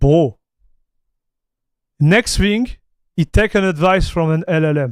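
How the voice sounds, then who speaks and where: With a French accent, a man speaks at a fairly slow pace in a high pitch with lively intonation and an animated tone. The sound is dry and close, with no echo. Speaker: tech streamer. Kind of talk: livestream commentary. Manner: halting, many restarts; casual, animated.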